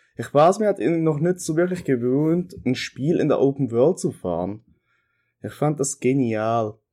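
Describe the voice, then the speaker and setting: Dark and mellow in tone, a man's fairly high voice moves at a fairly slow pace with lively intonation, recorded very cleanly over a silent background. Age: 20s. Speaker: podcast contributor recording a segment. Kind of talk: recorded monologue. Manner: casual with frequent fillers.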